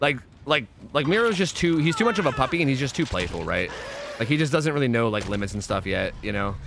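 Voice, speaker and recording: Noticeable background noise runs behind a man's fairly high voice. He talks very fast, his pitch swinging very widely. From Pennsylvania.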